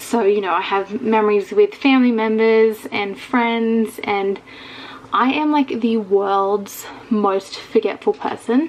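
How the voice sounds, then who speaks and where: In an Australian accent, a woman speaks at a very slow pace with a fairly high pitch and ordinary pitch variation. Noticeable background noise can be heard. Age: 20s. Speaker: vlogger. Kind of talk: casual vlog talk to camera. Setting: bedroom.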